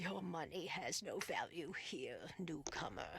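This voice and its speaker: A put-on character voice sits at a middle pitch and moves at a fairly slow pace. Loud background noise runs behind it. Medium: video game. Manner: mystical, teasing.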